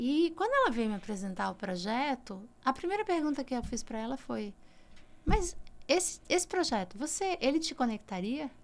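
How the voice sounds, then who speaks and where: This woman's voice is high and moves through very wide pitch swings. She speaks at a moderate pace. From Brazil, Ceará. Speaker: communication executive. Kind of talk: podcast interview.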